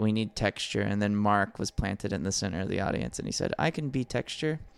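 In an American accent, a man with an unremarkable speaking voice talks at a fairly quick pace and a fairly low pitch. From US South, Alabama beach town. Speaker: comedian and musician. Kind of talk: casual chat.

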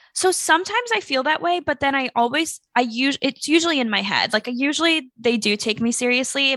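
A woman's unremarkable speaking voice at a moderate pace, lively in intonation, with a dry, close sound, no echo and a quiet background. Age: 20s. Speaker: startup founder and influencer. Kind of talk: casual chat.

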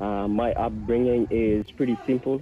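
The voice carries a slightly husky edge and keeps a fairly even intonation. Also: man.

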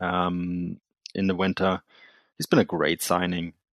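A man with a German accent speaks in a very deep, low voice. The background is quiet. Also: dry, close sound with no echo. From Germany (Munich, Bavaria). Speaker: football journalist and podcaster. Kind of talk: casual chat. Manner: halting, many fillers.

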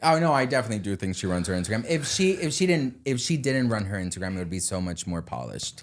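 At a very fast pace with hardly any pauses, a man with a fairly low pitch sounds animated, his pitch swinging very widely. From Denmark. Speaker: social media commentator. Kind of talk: casual chat.

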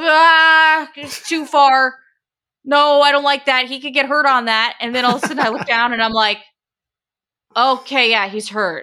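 A woman with an American accent projects a raised voice, high in pitch and bright and sharp in tone, with long, frequent pauses. The recording is very clean, with a silent background. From Portland, Oregon. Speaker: sports anchor and reporter. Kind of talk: casual chat.

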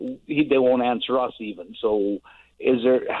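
A man at a fairly slow pace, fairly even intonation. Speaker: caller. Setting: phone call.

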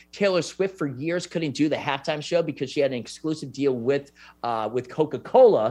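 Against a quiet background, a man talks fairly quickly in an animated tone, his fairly high pitch showing ordinary variation. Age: 30s. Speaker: sports podcast host. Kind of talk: casual chat.

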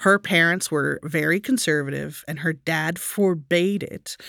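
A woman's plain, everyday voice, fairly low in pitch, with ordinary pitch variation, a moderate pace, and a very clean recording with a silent background. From Texas. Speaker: podcast host, storyteller. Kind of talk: casual storytelling chat.

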